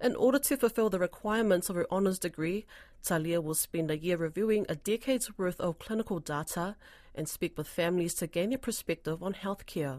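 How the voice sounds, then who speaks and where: With a New Zealand accent, a woman talks at a fairly quick pace in a medium pitch with ordinary pitch variation, recorded very cleanly against a silent background. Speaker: radio presenter. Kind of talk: news presenting.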